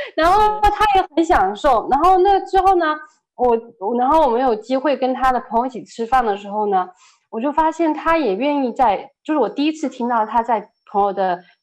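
The pitch swings very widely throughout. The background is quiet. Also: woman, high pitch for a woman, moderate pace. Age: 30s. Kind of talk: testimony. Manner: halting, many fillers.

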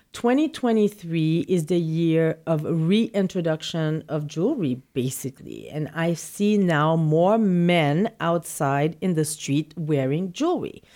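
A woman speaks at a fairly slow pace with a slight non-native accent, in a fairly low voice with a dark, mellow tone. Her loudness stays very even, her pitch varies in an ordinary way, and she leaves hardly any pauses. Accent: slight foreign. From not from New York City. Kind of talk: casual interview. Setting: showroom in Manhattan.

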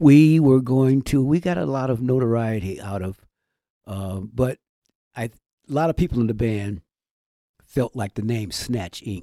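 A man with a dark, mellow tone and lively intonation, with long, frequent pauses, in a dry, close sound with no echo. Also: medium pitch for a man, moderate pace, very clean recording, silent background. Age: 70s. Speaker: retired musician. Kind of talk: casual interview.

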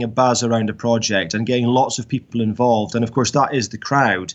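A man with a Scottish Highland accent talks at a fairly quick pace in a medium-pitched voice. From Scottish Highlands, Dingwall. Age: 40s. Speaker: distillery founder and farmer. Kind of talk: interview. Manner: hesitant, many fillers.

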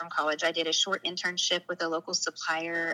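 A woman's medium-pitched voice comes through dry and close, with no echo. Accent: Southern US. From Arkansas, US South. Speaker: storyteller guest, former law enforcement worker. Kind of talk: personal testimony interview.

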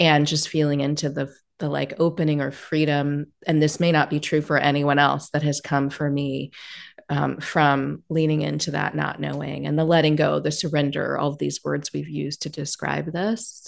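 Against a quiet background, a woman speaks at a moderate pace with a very deep, low pitch, vocal fry and flat, monotone intonation. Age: 40s. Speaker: podcast host. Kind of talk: casual interview.

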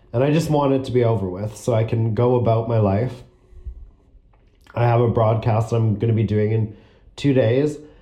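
At a moderate pace, a man with a medium pitch and a dark, mellow tone speaks somewhat breathily, with fairly even intonation, very even loudness, long and frequent pauses, and audible room echo. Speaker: student podcaster. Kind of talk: personal monologue. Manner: frequent throat clearing and coughing; labored, difficult speech.

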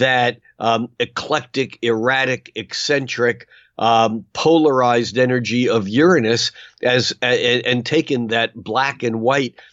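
A man speaks at a medium pitch with fairly even intonation. His pace is very slow. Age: 70s. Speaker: astrologer. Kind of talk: casual interview conversation. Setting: remote call recording.

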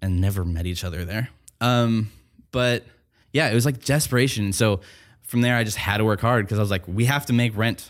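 Heard in a very clean recording with a silent background, a man in a normal speaking voice talks fairly quickly at medium pitch with ordinary pitch variation. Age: 20s. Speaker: audio engineer and music producer. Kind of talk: casual interview chat.

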